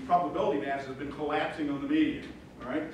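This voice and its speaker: Heard with strong room echo and light background noise, a man talks with ordinary pitch variation. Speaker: guest lecturer. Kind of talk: lecture. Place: classroom.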